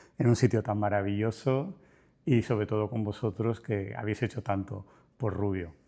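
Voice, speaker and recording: The tone is dark and mellow, with fairly even intonation at a moderate pace. The recording is very clean, with a silent background. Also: man, fairly low pitch for a man. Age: 60s. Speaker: business owner. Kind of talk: interview.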